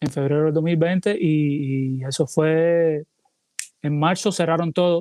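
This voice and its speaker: A man's fairly high voice with fairly even intonation, dry and close with no echo. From Cuba. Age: 30s. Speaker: salsa singer. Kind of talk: interview.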